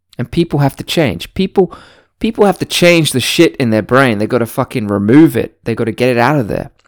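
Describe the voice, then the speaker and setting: A man with a British accent at a fairly quick pace, lively in intonation, on a very clean recording with a silent background. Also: medium pitch for a man. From Britain. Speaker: podcast host. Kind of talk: casual solo monologue.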